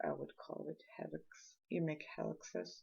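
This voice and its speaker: A woman is speaking. She has a Swedish accent. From Sweden. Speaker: art tutorial maker. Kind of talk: tutorial. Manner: halting, with repetitions and fillers.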